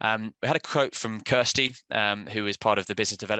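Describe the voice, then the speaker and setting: A man with a British accent speaks very fast in a fairly low pitch with a bright, sharp tone. The sound is dry and close with no echo, and the background is quiet. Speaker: software sales presenter. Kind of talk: webinar presentation. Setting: online webinar. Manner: halting with fillers.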